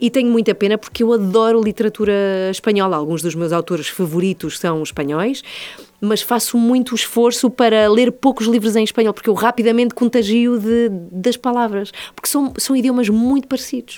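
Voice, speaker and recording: This voice has a dark, mellow tone and ordinary pitch variation at a moderate pace. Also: woman. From born in Madrid, Spain; moved to Lisbon at 14. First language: Spanish (speaking Portuguese). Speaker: radio host. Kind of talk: interview, casual chat.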